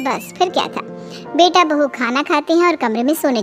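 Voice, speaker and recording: Music plays in the background behind a cartoonish character voice. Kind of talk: moral cartoon story narration. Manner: wry, conversational.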